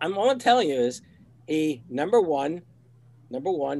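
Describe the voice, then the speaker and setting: Fairly high in pitch, this man has a plain, everyday voice. He talks at a fairly quick pace with lively intonation. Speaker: retired teacher. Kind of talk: casual chat. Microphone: new USB microphone.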